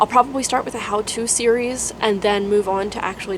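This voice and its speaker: Over noticeable background noise, a woman speaks at a fairly quick pace. Her pitch is fairly high and her intonation fairly even. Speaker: UX designer and career vlogger. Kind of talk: casual vlog update. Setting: dark room at home. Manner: monotone.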